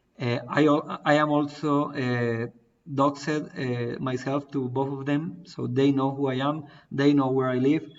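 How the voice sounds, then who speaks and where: A man with a Spanish accent speaks at a fairly slow pace in a fairly high pitch, his intonation monotone and flat. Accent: non-native English, Spanish. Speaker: crypto project founder. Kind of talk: live AMA Q&A. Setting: online stream. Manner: halting, many fillers.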